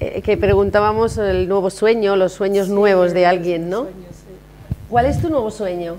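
A woman of medium pitch talks at a moderate pace over noticeable background noise. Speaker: TV show host. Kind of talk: casual chat. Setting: hotel. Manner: animated.

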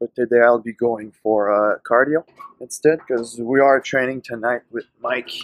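The man's delivery is at a moderate pace with fairly even intonation. The sound is dry with no echo, and the background is quiet. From French Canada. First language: French. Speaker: bodybuilder. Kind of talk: casual vlog talk to camera.

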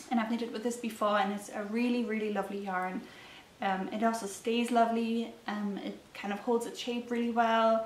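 A woman with a fairly high pitch speaks at a moderate pace in a monotone, flat intonation. Audible room echo and light background noise come through. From Germany. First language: German. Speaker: knitting podcaster. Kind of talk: casual solo vlog talk. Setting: talking to a camera at home. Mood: calm, friendly. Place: home room.

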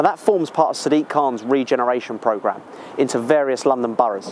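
Against light background noise, a man talks at a very fast pace, the sound dry with no echo. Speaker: presenter. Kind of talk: presenter talk to camera. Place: station.

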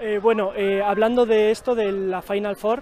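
At a fairly slow pace, the speech comes through with a dry sound with no echo over light background noise. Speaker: sports reporter. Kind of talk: post-match interview. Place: stadium.

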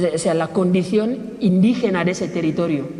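At a moderate pace, a man speaks with a high pitch and fairly even intonation. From Equatorial Guinea. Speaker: pan-Africanist activist. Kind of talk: public talk. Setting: stage with audience. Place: hall.

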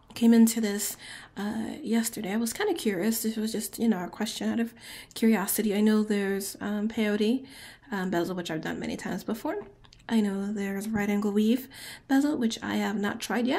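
A woman's somewhat breathy, dark, mellow voice at a fairly high pitch, with fairly even intonation and a fairly quick pace. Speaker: beadwork tutor. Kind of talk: craft tutorial talk to camera. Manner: casual, hesitant with fillers.

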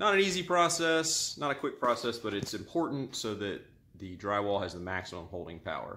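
Over light background noise, a man talks at a moderate pace in a bright, sharp tone with lively intonation. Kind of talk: tutorial. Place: home room. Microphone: phone near.

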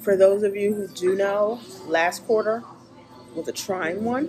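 A woman talks at a fairly slow pace, with clear music heard behind her. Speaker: graduate student vlogger. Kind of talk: casual vlog chat. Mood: relaxed, upbeat. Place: cafe. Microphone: phone near.

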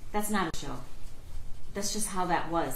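Light background noise and audible room echo surround a woman speaking. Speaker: prosecutor. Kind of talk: courtroom closing argument to a jury. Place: hall.

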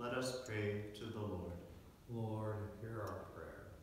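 Noticeable background noise and strong room echo surround the speech. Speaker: lector and congregation responder at mass. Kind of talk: scripture reading aloud and liturgical responses. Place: church.

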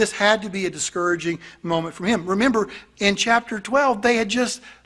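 The setting is quiet. A man's tone comes across bright and sharp. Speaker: pastor. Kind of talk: sermon, verse-by-verse Bible teaching. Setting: church congregation. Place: church. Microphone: podium.

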